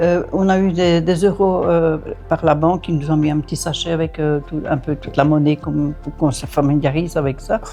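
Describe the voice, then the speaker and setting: With music in the background, a woman talks at a moderate pace. Her pitch is very deep and low, and her intonation fairly even. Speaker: grandmother. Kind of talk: casual chat.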